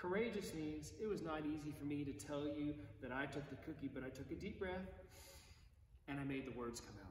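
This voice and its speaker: Delivered at a fairly quick pace, the speech carries audible room echo over light background noise. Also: man, fairly high pitch for a man. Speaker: priest. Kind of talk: bedtime story read aloud to children, gentle and cozy, between prayers; compline service, liturgical prayer. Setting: online video service from church, addressing viewers. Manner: playful, expressive storyteller voice, lightly animated. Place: church. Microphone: camera far.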